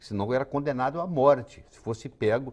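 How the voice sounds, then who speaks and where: A man speaks at a moderate pace with a medium pitch. His is a plain, everyday voice with ordinary pitch variation. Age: 60s. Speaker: physician. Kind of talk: interview.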